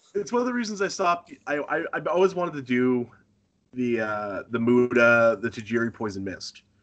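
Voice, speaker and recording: The voice carries an American accent and lively intonation. The pace is moderate. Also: man, medium pitch for a man. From Northern Maine, US. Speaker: professional wrestler. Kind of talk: casual interview. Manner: halting, frequent false starts.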